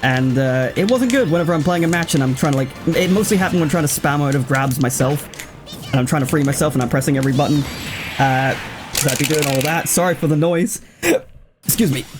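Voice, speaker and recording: A man speaks very fast at a fairly high pitch, with ordinary pitch variation and very even loudness. Music plays in the background. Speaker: gaming YouTuber. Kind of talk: let's play commentary. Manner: halting, with stammers and repetitions; casual, chatty.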